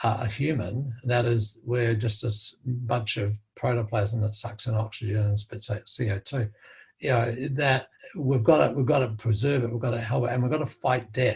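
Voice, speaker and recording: This voice carries fairly even intonation in an Australian accent. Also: man, medium pitch for a man, moderate pace. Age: 70s. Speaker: interviewee, doctor. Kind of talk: interview conversation. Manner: halting with many fillers and repetitions.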